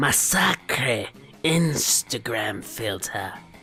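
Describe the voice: A put-on character voice drags along at a very slow pace, with faint music in the background. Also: man.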